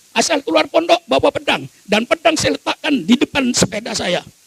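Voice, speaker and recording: Against noticeable background noise but with a dry, close sound and no echo, a man speaks at an extremely high pitch, fairly quickly and with lively intonation. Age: 80s+. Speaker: Islamic cleric. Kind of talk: sermon. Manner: emphatic, forceful.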